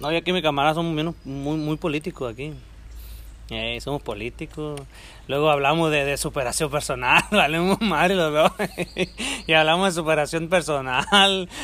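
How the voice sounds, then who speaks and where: A man talks at a moderate pace with long, frequent pauses and a bright, sharp tone. The recording is very clean, with a silent background. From rural Mexico. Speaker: handyman and amateur podcaster. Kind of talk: casual chat. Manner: animated.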